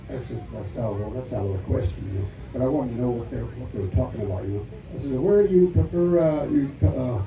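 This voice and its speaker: In an American accent, the speaker moves at a fairly quick pace with very wide pitch swings, and the room echo is audible. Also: man. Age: 80s+. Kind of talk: testimony. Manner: halting.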